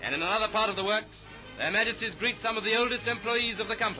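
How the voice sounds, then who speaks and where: Over music in the background, a man with a high pitch speaks at a very fast pace in a raised, projected voice. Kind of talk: newsreel narration.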